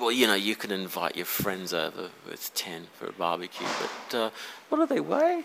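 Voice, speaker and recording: A man with an Australian accent speaks over noticeable background noise. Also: moderate pace. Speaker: angler. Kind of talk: casual chat. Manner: halting.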